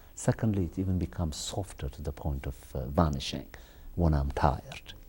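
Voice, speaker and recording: A man's very deep, low voice at a fairly quick pace, dark and mellow in tone, with lively intonation and vocal fry. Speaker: TV interview host. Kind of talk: interview. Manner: halting.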